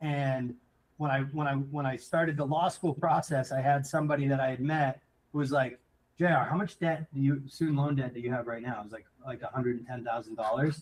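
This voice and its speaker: At a fairly quick pace, a man speaks with a fairly high pitch, fairly even intonation and a somewhat breathy quality. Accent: American. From central Massachusetts. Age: 30s. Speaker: entrepreneur. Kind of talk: casual interview chat. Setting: live show.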